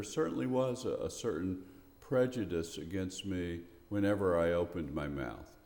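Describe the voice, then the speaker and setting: A man with a very deep, low pitch and an American accent talks at a moderate pace with lively intonation, with audible room echo. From US South, Memphis, Tennessee. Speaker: poet and retired professor. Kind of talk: interview. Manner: halting.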